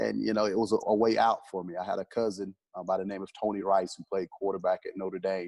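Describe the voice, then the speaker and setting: A man speaks very fast in a Southern US accent, fairly low-pitched and monotone with flat intonation. The recording is very clean with a silent background and a dry, close sound with no echo. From US South, South Carolina. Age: 40s. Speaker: football coach. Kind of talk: interview. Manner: conversational.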